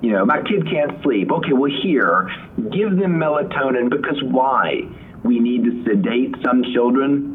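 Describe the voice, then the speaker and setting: A man with a fairly high voice speaks at a fairly slow pace, his intonation lively and his loudness very even. Noticeable background noise and audible room echo surround him. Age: 40s. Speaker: sleep doctor and neurologist. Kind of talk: interview.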